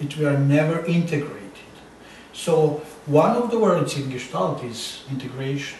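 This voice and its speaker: Noticeable background noise and audible room echo surround a man with a fairly high pitch who speaks at a moderate pace with lively intonation. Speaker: psychotherapist. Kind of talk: interview. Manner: halting.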